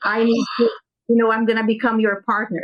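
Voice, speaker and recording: With a Brazilian Portuguese accent, a woman talks at a fairly quick pace in a fairly high pitch. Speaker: business owner. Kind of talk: podcast interview.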